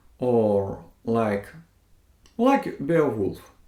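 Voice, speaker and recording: A man speaks with a non-native accent at a medium pitch. His pace is very slow. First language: not English. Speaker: book vlogger. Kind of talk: casual monologue. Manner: halting, many fillers and restarts.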